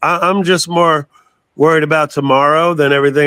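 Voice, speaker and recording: A man's fairly high, bright, sharp voice with an American accent, at a moderate pace. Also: very clean recording, silent background. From Florida, Tampa Bay area. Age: 60s. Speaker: metal singer. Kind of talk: interview.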